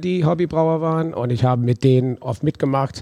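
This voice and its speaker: A man with an English accent talks at a moderate pace in a medium pitch, with a dark, mellow tone and ordinary pitch variation. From US South, New Orleans. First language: English (speaking German). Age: 40s. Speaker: brewery owner. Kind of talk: interview. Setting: on location in a brewpub. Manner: halting.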